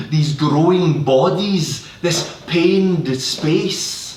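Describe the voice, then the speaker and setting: A man with a high voice speaks at a very slow pace and with fairly even intonation, against noticeable background noise. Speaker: poet. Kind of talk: poetry reading.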